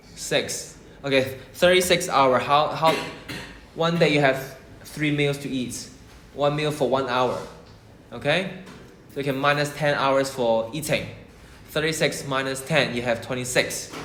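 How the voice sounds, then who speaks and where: A man's fairly high-pitched, fairly slow speech with fairly even intonation and long, frequent pauses, amid noticeable background noise and audible room echo. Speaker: maths tutor. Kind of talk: lesson.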